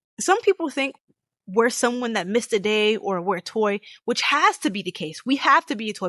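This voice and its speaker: A woman with a fairly high pitch sounds animated, her intonation lively, in a dry, close sound with no echo and a quiet background. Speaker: gaming commentary youtuber. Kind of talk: casual commentary rant. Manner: fast.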